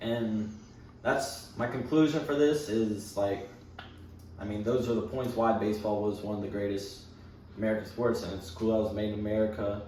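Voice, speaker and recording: Amid noticeable background noise and audible room echo, a man with a fairly low pitch speaks at a moderate pace with fairly even intonation. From Ireland. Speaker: student. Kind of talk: class speech. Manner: casual, filler-heavy.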